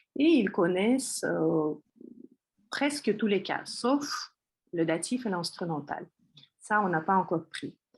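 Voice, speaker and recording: With a Russian accent, a woman talks very slowly in a somewhat breathy, medium-pitched voice, her pitch swinging very widely between long, frequent pauses. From Russia, Moscow. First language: Russian (speaking French). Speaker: Russian language teacher. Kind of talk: course presentation. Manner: hesitant, many fillers.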